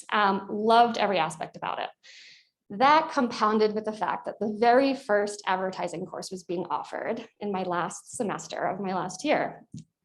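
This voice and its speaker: A woman speaks with a Long Island accent at medium pitch. Her pitch varies in an ordinary way. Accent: Long Island New York. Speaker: corporate executive, alumna panelist. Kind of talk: panel discussion.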